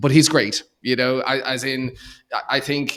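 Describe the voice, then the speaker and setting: In an Irish accent, a man talks at a fairly slow pace. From Ireland, Dublin. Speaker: accountant and entrepreneur. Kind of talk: podcast interview. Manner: halting, many fillers and repeated words.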